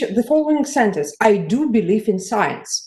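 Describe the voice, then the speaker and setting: A woman talks with a Russian accent. Her pitch swings very widely. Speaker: conference audience member. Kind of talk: conference discussion remark. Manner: halting.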